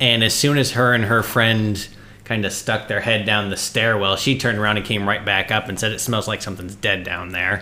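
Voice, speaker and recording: A man talks at a fairly quick pace in a fairly low pitch. His is an unremarkable speaking voice. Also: fairly even intonation. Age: 30s. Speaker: ghost hunter. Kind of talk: casual chat.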